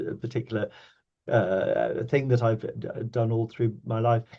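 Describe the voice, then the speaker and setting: A man with a British accent speaks in a somewhat breathy, monotone voice with flat intonation. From Kenya (Mombasa). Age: 60s. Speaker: obstetrician and professor. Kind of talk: podcast interview. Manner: halting, many fillers and repetitions.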